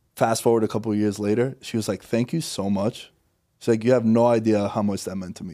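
A man's fairly low, dark, mellow voice at a fairly quick pace, with fairly even intonation, on a very clean recording with a silent background. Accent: New York. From New York City (Queens). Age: 30s. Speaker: podcast host. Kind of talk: casual chat. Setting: studio.

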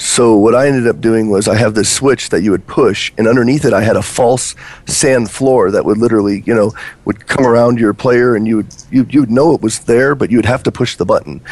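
With an ordinary speaking voice, a man talks at a fairly quick pace in a medium pitch, keeping very even loudness and fairly even intonation. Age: 30s. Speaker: Minecraft YouTuber and website owner. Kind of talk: casual chat.

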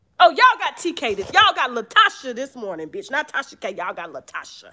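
The voice is raised and projected, with an animated, bright, sharp tone. It moves at a fairly quick pace. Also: woman. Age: 30s. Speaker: vlogger. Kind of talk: casual monologue.

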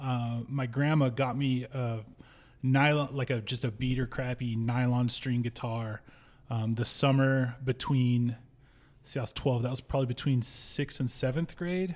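In an American accent, a man speaks fairly slowly in an ordinary speaking voice at a medium pitch with fairly even intonation, on a very clean recording with a silent background. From Nevada, US. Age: 30s. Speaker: bar owner and punk musician. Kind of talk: casual chat.

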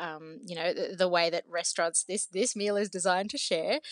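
A woman speaks with an Australian accent at a medium pitch. The sound is dry and close with no echo. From former Soviet Union, raised in Australia. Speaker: cookbook author. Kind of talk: interview.

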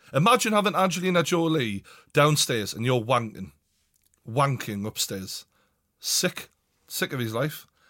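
A man's bright, sharp voice with a Geordie accent, fairly high in pitch with very wide pitch swings, at a moderate pace with long, frequent pauses, on a very clean recording with a silent background. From northern England, Newcastle. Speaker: football podcast host. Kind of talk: casual chat. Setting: studio.

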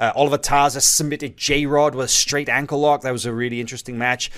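A man with a Welsh accent talks at a very fast pace on a very clean recording with a silent background. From Wales. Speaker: grappling news show host. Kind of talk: news and results show with commentary. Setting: studio.

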